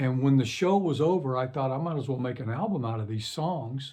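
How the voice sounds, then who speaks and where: Somewhat breathy and dark, mellow in tone, a man speaks at a fairly quick pace with ordinary pitch variation. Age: 60s. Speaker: singer-songwriter. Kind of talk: casual talk to camera. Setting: home recording studio. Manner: hesitant, many fillers.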